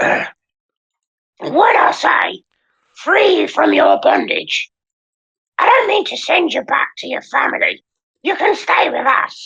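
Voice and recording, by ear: An extremely high-pitched put-on character voice, raspy, guttural and strained, moves at a fairly slow pace with long, frequent pauses.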